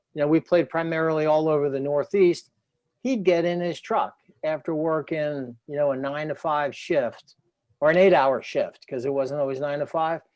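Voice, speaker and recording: A man speaks with an American accent in a normal speaking voice, his pitch fairly high for a man. His intonation stays fairly even at a moderate pace. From New Jersey, Trenton. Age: 60s. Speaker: former athlete and author. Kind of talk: interview.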